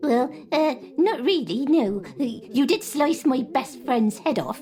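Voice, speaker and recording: Over clear background noise, a woman puts on a character voice, pitched high with lively intonation and delivered at a fairly slow pace. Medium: audio drama. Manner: hesitant, stammering.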